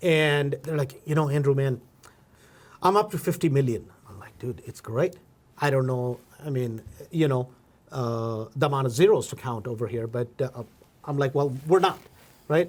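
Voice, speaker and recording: At a moderate pace, a man with a fairly high, somewhat breathy voice and ordinary pitch variation speaks with long, frequent pauses. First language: not English. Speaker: podcast host, real estate investor. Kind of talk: casual interview. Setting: studio. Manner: animated.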